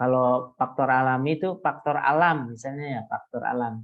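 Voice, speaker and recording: Pitched at a medium level, a man's voice shows ordinary pitch variation. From coastal Indonesian village. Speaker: university lecturer. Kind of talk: lecture. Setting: video call. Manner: loud.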